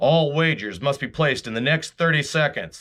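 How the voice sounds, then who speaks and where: A man in a put-on character voice, fairly high in pitch, at a moderate pace. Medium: read story.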